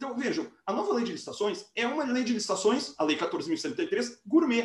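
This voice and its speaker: A man's voice at an extremely high pitch. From interior of Rio Grande do Sul, Brazil. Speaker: law professor. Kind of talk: lecture.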